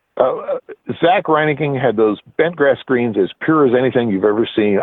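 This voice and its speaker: With a Midwestern US accent, a man speaks at a moderate pace, using lively intonation. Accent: General American, Midwestern. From US Midwest, Nebraska. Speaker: golf architecture writer and editor. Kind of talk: interview. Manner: hesitant, many fillers and repetitions.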